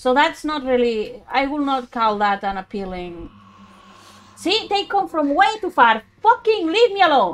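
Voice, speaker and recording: With a strong Spanish accent, a woman speaks at a fairly slow pace in a high voice with very wide pitch swings, over noticeable background noise. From Spain. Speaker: let's play streamer. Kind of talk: live gameplay commentary. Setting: low-quality home mic.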